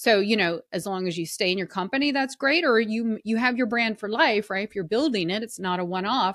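A woman with a Southern US accent speaks at a moderate pace and medium pitch. Her pitch variation is ordinary, and the sound is dry and close with no echo. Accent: Southern American. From US South. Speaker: personal brand consultant and author. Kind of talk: casual chat.

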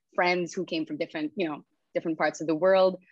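A woman's fairly low voice with an American accent, at a fairly quick pace and fairly even intonation, in a dry, close sound with no echo against a quiet background. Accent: mostly American-sounding English. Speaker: UX designer. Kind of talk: casual podcast interview.

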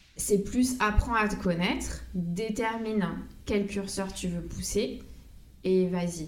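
With audible room echo, a woman of medium pitch talks at a very slow pace using fairly even intonation. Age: 30s. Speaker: make-up artist. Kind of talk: casual interview. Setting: recorded on location. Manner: hesitant, many fillers.

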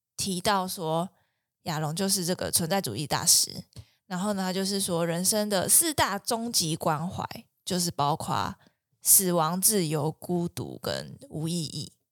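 A woman speaks in a plain, everyday voice at a fairly low pitch and fairly slow pace, with ordinary pitch variation. The recording is very clean with a silent background and a dry, close sound with no echo. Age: 20s. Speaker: clinical psychologist. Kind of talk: casual chat.

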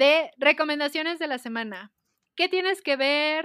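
A woman's raised, projected voice with a bright, sharp tone, recorded very clean against a silent background, dry and close with no echo. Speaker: podcast co-host. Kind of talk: casual chat.

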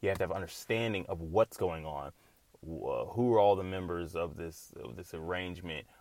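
A man with a slight Southern US accent, a very deep, low pitch, and big swings in loudness. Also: ordinary pitch variation. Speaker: podcast host. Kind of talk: casual solo monologue. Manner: fast talker, excitable.

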